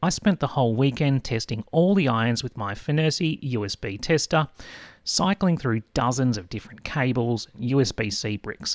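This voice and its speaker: A man's medium-pitched voice with an Australian accent and lively intonation, at a moderate pace, in a dry, close sound with no echo and a very clean, silent background. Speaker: tech product reviewer. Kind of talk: scripted narration. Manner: animated.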